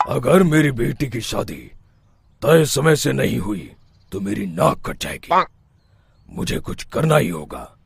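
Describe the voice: This man uses a cartoonish character voice, stern and raspy, at a medium pitch with very wide pitch swings. He talks at a fairly slow pace with long, frequent pauses.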